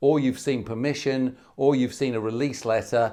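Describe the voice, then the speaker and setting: With a British accent, a man speaks at a fairly high pitch. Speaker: medical exam tutor. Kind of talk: webinar Q&A. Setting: online webinar. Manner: loud, animated.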